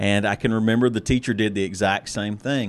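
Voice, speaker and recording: Speaking with an American accent, a man with a plain, everyday voice moves at a fairly quick pace, his medium pitch kept in fairly even intonation. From US South. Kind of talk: casual chat about faith.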